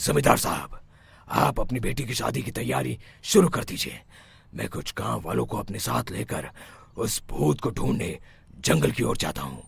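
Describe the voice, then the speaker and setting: This is a cartoonish character voice with very wide pitch swings. It moves at a moderate pace. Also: man, very deep, low pitch for a man. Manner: authoritative.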